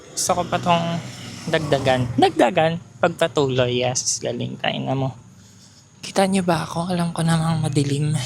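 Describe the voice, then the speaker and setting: Soft-spoken and very deep in pitch, a woman talks at a fairly slow pace with ordinary pitch variation over noticeable background noise. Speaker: vlogger. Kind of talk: casual walking vlog. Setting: outdoors, walking on street at night.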